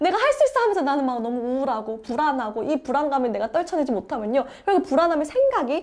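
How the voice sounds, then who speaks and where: A woman speaks in a high pitch with an animated tone. Her pace is very fast. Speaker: book review channel host. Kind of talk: book summary talk.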